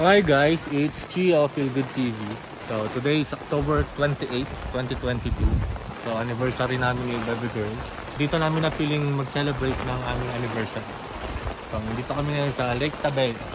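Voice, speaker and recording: Amid loud background noise, a man talks at a fairly quick pace with ordinary pitch variation in a dry sound with no echo. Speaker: travel vlogger. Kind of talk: casual vlog chat. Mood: cheerful, relaxed. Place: open country. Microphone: phone near.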